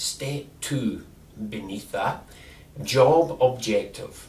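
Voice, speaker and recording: With audible room echo, a man with a Scottish accent speaks very slowly in a somewhat breathy voice of fairly high pitch. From Scotland. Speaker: employment advisor. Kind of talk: instructional talk.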